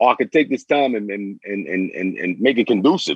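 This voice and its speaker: A man with a New York accent, fairly low in pitch, with ordinary pitch variation and a moderate pace. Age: 40s. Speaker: former prisoner turned community mentor. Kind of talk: casual chat.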